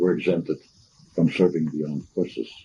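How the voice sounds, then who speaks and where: This man's voice has a dark, mellow tone. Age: 80s+. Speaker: war veteran, retired coal mine supervisor. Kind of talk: oral history interview. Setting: at his home. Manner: halting.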